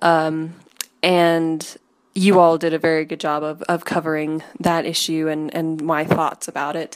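This is a plain, everyday voice. It moves at a fairly slow pace. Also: woman. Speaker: caller. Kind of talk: recorded voicemail message.

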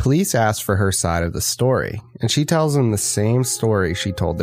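Music plays in the background as a man with fairly low pitch speaks at a moderate pace with lively intonation. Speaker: podcast co-host. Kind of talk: true-crime narration. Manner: measured, storytelling delivery, steady and earnest.

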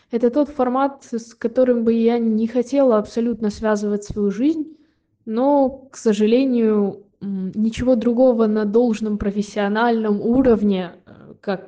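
A woman's fairly high-pitched, a plain, everyday voice, at a fairly slow pace with fairly even intonation. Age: 20s. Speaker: conservatory violin student. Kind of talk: read-out personal story.

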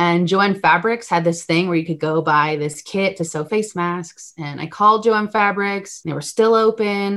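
A woman's unremarkable speaking voice with an American accent, fairly low in pitch with ordinary pitch variation, on a very clean recording with a silent background. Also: moderate pace. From US Northeast, Connecticut. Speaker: nonprofit founder and film assistant director. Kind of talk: interview.

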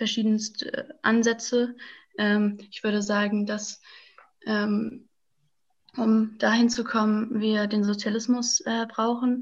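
The delivery is very slow, with long, frequent pauses. The voice is somewhat breathy and the intonation is flat and monotone. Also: woman. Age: 20s. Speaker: climate activist. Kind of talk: interview. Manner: hesitant, many filler sounds.

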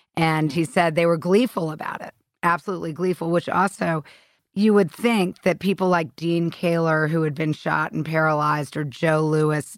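A woman speaks at a moderate pace with a very deep, low pitch and fairly even intonation. The recording is very clean, with a silent background. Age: 50s. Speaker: author and journalist. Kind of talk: interview.

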